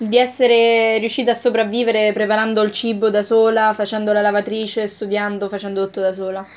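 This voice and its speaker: Using a fairly high pitch and monotone, flat intonation, a woman speaks at a fairly quick pace with hardly any pauses. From Rome, Italy. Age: 20s. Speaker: university student. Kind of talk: interview.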